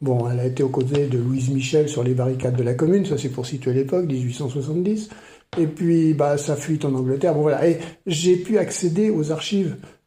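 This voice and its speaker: Audible room echo surrounds a man speaking at a fairly quick pace with a fairly high pitch and ordinary pitch variation. His tone is dark and mellow, and somewhat breathy. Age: 70s. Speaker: retired maths teacher and writer. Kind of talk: podcast interview. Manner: hesitant, many fillers.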